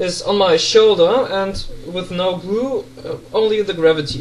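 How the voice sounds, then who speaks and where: With a German accent, a man talks at a very slow pace in a high voice, with noticeable background noise behind him. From Germany. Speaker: pen spinning tutor. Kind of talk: casual talk to camera.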